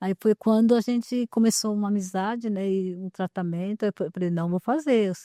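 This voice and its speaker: A woman with a dark, mellow tone talks with hardly any pauses against a quiet background. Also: medium pitch for a woman, ordinary pitch variation, moderate pace. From interior of São Paulo state, Brazil. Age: 60s. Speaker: artisan, dental patient. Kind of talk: interview conversation. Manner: halting, many fillers and repetitions.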